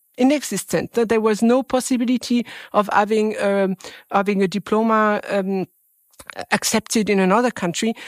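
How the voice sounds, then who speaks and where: In a very clean recording with a silent background and a dry, close sound with no echo, a woman speaks with a French accent at a moderate pace. Her pitch is fairly high, her intonation fairly even, and her loudness very even. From France. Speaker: venture capital fund manager. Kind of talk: interview. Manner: halting.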